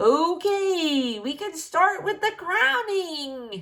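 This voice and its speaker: A woman's put-on character voice at an extremely high pitch, with very wide pitch swings and a very slow pace. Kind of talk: comic overacting. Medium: read story. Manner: laid-back, slangy, drawling.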